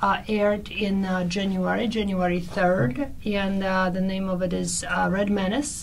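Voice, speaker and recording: With a Polish accent, a woman at a medium pitch speaks at a fairly slow pace amid noticeable background noise and audible room echo. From Poland. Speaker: actress and translator. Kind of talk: radio interview. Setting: radio studio.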